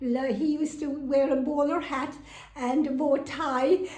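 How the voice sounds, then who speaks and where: In a Kerry accent, a woman speaks at a high pitch with monotone, flat intonation, and room echo is audible. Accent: Kerry Irish. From Ireland, County Kerry (Sneem). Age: 80s+. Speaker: housing resident telling her life story. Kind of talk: personal testimony interview. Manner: halting, with fillers.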